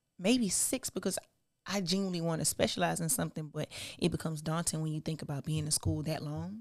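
Very deep and low, a woman's voice carries an American accent and lively intonation at a very fast pace. The recording is very clean, with a silent background. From South Carolina, US South. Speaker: STEM student. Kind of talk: casual chat.

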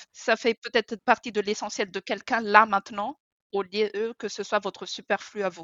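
A woman's fairly high voice, monotone and flat, at a moderate pace. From Madagascar. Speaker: author and minimalism coach. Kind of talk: casual interview.

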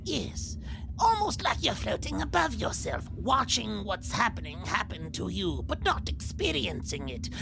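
Loud background noise fills the clip. Over it comes a put-on character voice. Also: moderate pace. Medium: actual play. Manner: measured, advisory.

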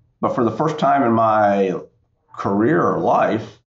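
With audible room echo around him, a man speaks at a medium pitch with ordinary pitch variation. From US South, central North Carolina. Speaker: tech executive, military veteran. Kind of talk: interview.

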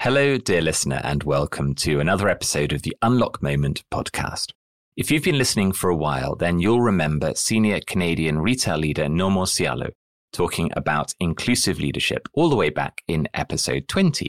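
With a very deep, low pitch and very wide pitch swings, a man talks at a fairly quick pace in a dry, close sound with no echo. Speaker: podcast host and coach. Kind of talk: interview conversation.

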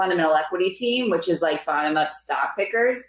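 Noticeable background noise surrounds a woman speaking with an American accent. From Pennsylvania, near Philadelphia. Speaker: investment specialist. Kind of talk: interview.

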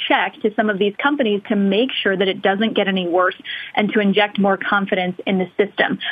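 Noticeable background noise is present. The talking goes fairly quickly. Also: woman. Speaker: Washington correspondent. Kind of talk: live news report. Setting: remote live shot.

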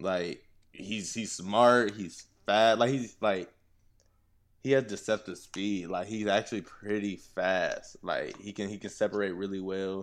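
The speaker has a normal speaking voice, an American accent and fairly even intonation at a fairly slow pace. The recording is very clean, with a silent background. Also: man, fairly low pitch for a man. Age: 20s. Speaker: former college football player. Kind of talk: casual chat.

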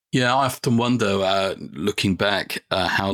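With an English accent, a man speaks with ordinary pitch variation. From English Midlands. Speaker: podcast host. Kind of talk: interview.

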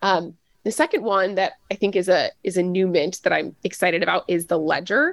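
A woman with a plain, everyday voice, medium pitch, ordinary pitch variation, very even loudness and a fairly quick pace, in a dry, close sound with no echo. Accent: American. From US South, Nashville, Tennessee. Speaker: web3 consultancy executive. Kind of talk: interview.

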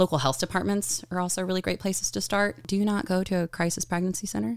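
A woman with an American accent talks at a very fast pace, barely pausing, in a medium pitch. The sound is dry and close, with no echo. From Texas, small town near Austin. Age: 30s. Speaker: surgical assistant in reproductive healthcare. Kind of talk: casual chat.

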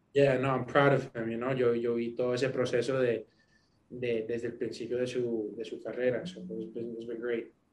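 A man with a medium pitch talks at a fairly slow pace in a flat, monotone delivery. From US, New York. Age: 20s. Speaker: singer. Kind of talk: interview. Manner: code-switching Spanish and English.

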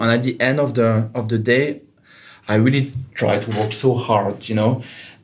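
A man with a Swiss French accent speaks with fairly even intonation. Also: medium pitch for a man, fairly quick pace. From Switzerland, Geneva. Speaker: digital consultant. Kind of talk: interview. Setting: co-working space.

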